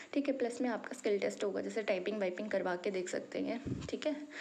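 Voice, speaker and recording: Noticeable background noise sits behind a woman speaking at a moderate pace. Her pitch is fairly high. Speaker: YouTube job-notification presenter. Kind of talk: informational tutorial. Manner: conversational, frequent filler 'ठीक है'.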